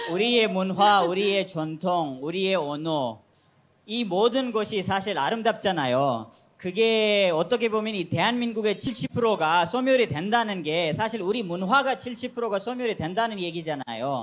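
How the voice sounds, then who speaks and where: A man talks at a moderate pace in a high voice with a non-native accent. The recording is very clean, with a silent background. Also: lively intonation. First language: not Korean (speaking Korean). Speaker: foreign resident panelist. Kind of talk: talk show panel discussion.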